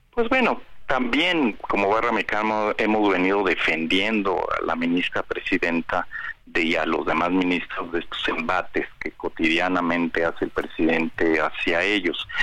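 A man keeps a moderate pace while noticeable noise fills the background. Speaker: bar association lawyer. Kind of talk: phone interview.

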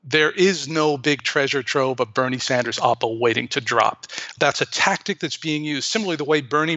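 A man with a fairly high pitch speaks very fast with hardly any pauses over noticeable background noise. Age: 50s. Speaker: progressive political activist. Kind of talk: interview.

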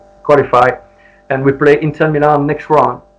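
A man with a non-native accent over noticeable background noise. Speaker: former professional footballer. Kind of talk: interview. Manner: halting.

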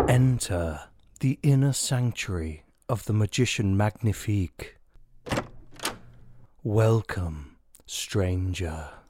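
Long, frequent pauses break up a man's very slow delivery. His pitch is fairly low and his intonation lively. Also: very clean recording, silent background. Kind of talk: grand showman melodrama. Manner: grandiose, flirtatious, self-satisfied.

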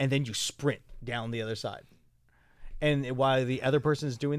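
Over a very clean recording with a silent background, a man talks at a very fast pace, his medium pitch held in fairly even intonation. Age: 30s. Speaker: adult performer. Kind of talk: casual chat.

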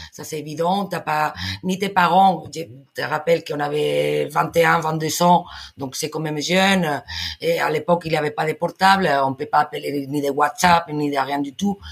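Speaking fairly slowly with a Spanish accent, a woman uses a very deep, low pitch, vocal fry and fairly even intonation. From Spain. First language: Spanish (speaking French). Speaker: podcast guest. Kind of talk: casual chat. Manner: halting.

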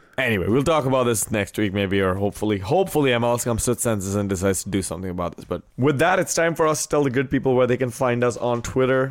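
With music in the background, a man speaks at a very fast pace and medium pitch with lively intonation. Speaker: soccer podcast host. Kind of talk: casual sports discussion. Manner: clears throat often.

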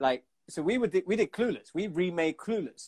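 Recorded with a dry, close sound and no echo, a man talks in a London accent. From London, England. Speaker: music video and TV producer. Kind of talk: casual interview. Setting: Instagram live call.

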